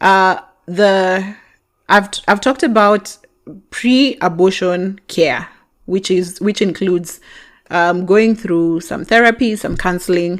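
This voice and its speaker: At a very slow pace, a woman talks in a medium pitch with ordinary variation. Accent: Kenyan. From Kenya. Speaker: podcast host. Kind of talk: podcast monologue reading and answering listener messages.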